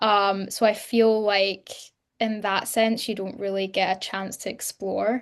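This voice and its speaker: Her intonation stays monotone and flat. The woman's pitch sits at a medium level. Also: fairly slow pace, quiet background. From Scotland, partly raised in England. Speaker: actress. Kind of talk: interview.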